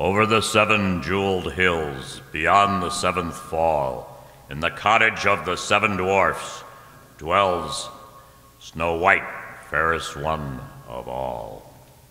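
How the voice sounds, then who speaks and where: Using a put-on character voice, a man speaks in a solemn tone at a very slow pace and a very deep, low pitch, with a clear echo. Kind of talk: 1940s radio acting. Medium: old radio play. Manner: solemn, archaic, rhyming.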